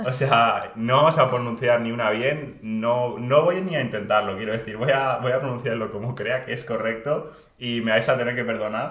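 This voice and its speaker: A man speaks at a moderate pace and medium pitch with hardly any pauses, his intonation fairly even, over noticeable background noise and audible room echo. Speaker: podcast co-host. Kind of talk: casual chat.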